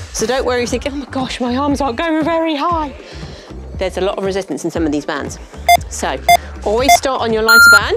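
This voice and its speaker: A woman at a very fast pace, in a dry sound with no echo, over clear music in the background. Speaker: fitness instructor. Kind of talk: workout instruction. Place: studio.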